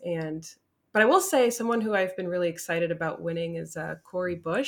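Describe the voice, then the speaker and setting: Here a woman talks at a fairly quick pace, in a normal speaking voice. Her pitch is medium with ordinary variation. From New Jersey, Newark area. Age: 20s. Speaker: cam model and content creator. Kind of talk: casual interview chat.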